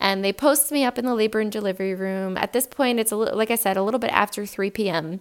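Over noticeable background noise, a woman talks very fast with hardly any pauses, her fairly high voice animated in tone with ordinary pitch variation. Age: 30s. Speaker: podcast host. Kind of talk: casual monologue.

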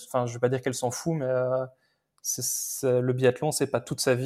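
The man talks at a very fast pace in a medium pitch. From Belgium. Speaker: retired Olympic biathlete, pundit. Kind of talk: casual chat.

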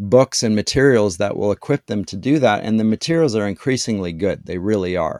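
A man's fairly low voice with a Canadian accent, ordinary pitch variation and a fairly quick pace, on a very clean recording with a silent background. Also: dry, close sound with no echo. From Canada, London, Ontario. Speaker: literature professor. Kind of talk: interview conversation. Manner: halting with many fillers.

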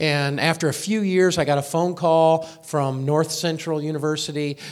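This man has a fairly high pitch and an American accent. His intonation stays fairly even, and the room echo is audible. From US Midwest, Indianapolis, Indiana. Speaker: former professor and charity speaker. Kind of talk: interview on stage at church service. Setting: church. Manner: halting with fillers.

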